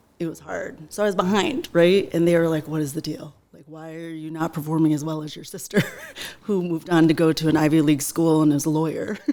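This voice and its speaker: A woman's very deep, low voice with a Western New York accent, very fast and fairly even in intonation, with big swings in loudness and noticeable background noise. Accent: Western New York American. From Buffalo area, New York. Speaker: teacher and small business owner. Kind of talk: interview.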